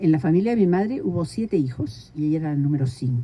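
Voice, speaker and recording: This woman's voice sits very deep and low, with a dark, mellow tone. She talks at a fairly quick pace and sounds somewhat breathy. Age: 80s+. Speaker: community leader. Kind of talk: interview.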